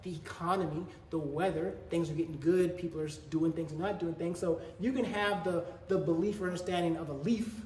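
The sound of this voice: Against strong room echo, a man with a fairly high pitch and a slightly mellow tone talks at a fairly quick pace, with fairly even intonation and few pauses.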